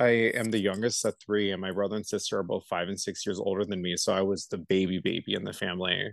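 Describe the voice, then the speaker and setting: A man with an American accent speaks at a very fast pace in a monotone, flat way. His pitch is fairly low, and the background is quiet. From Los Angeles, California. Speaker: hairstylist. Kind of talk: casual chat.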